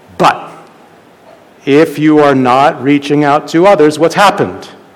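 Amid noticeable background noise, a man with a fairly high pitch talks at a fairly slow pace. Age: 40s. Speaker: pastor. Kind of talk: sermon.

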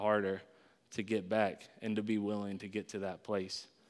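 At a moderate pace, a man speaks at a medium pitch in a plain, everyday voice on a very clean recording with a silent background. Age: 30s. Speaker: pastor. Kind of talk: sermon. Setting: church.

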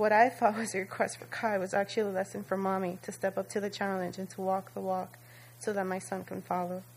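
A woman at a medium pitch, at a very fast pace with fairly even intonation. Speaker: church member, mother. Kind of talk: testimony. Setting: church. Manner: reading from prepared text.

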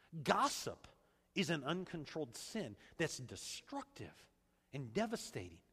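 A man speaks at a fairly slow pace with long, frequent pauses, his pitch fairly high and swinging very widely. His tone is bright and sharp, with vocal fry. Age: 40s. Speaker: pastor. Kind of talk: sermon.

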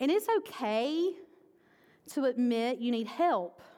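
A woman speaks loudly in a high voice with a dark, mellow tone. The recording is very clean with a silent background. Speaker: pastor. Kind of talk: sermon.

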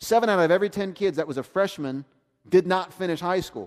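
A man talks at a very fast pace with a Southern US accent. The recording is very clean, with a silent background. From US South, South Georgia. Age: 40s. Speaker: pastor. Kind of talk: sermon. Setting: church.

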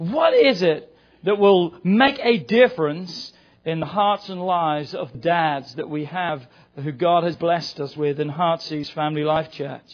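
A man speaks loudly in a high, animated voice at a fairly slow pace with ordinary pitch variation. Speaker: pastor. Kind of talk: sermon. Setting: church.

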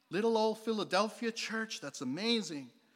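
Speaking at a very fast pace, a man uses an animated, warm tone with ordinary pitch variation. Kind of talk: sermon. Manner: animated, warm and conversational, like a pastor preaching to a live congregation; emphatic, repeating key points for effect.

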